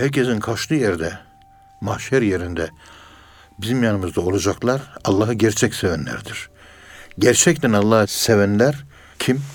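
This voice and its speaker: A man's fairly low voice with ordinary pitch variation, a moderate pace, and long, frequent pauses. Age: 60s. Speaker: professor of Sufism. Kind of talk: religious radio talk.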